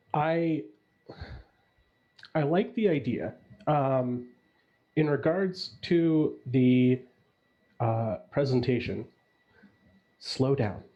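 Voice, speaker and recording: At a very slow pace with long, frequent pauses, a man speaks at a fairly high pitch with lively intonation and very even loudness. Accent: American. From US Midwest, Chicago. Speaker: judge on a mock pitch panel. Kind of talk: panel feedback on a pitch.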